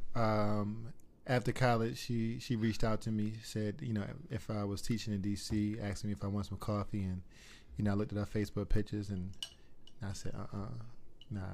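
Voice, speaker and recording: With an American accent, a man speaks in a fairly low pitch with fairly even intonation and long, frequent pauses. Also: fairly quick pace. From Baltimore, Maryland. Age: 30s. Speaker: mortgage lender. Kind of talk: casual chat.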